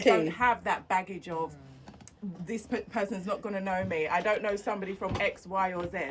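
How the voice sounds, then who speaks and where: A woman with a London accent and a medium pitch talks at a fairly quick pace with fairly even intonation over noticeable background noise. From East London (Barking), England. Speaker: business strategist. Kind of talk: interview.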